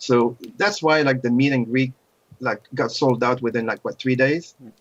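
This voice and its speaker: A man speaks with a non-native accent at a moderate pace. His pitch is medium, with ordinary variation. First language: not English. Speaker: podcast co-host. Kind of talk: casual chat.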